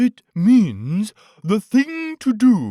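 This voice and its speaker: Using a put-on character voice, a man speaks at a high pitch. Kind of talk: bedtime story. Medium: read story. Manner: pompous, wordy.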